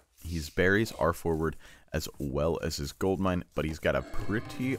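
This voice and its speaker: With music in the background, a man's very deep, low voice moves through very wide pitch swings. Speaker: game caster. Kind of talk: live commentary. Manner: stumbles over words; casual, filler-heavy.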